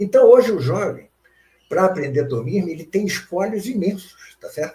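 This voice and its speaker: A man with a high pitch and a dark, mellow tone speaks at a moderate pace. His intonation is lively, with big swings in loudness. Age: 70s. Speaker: philosophy professor. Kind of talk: interview. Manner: hesitant with frequent fillers.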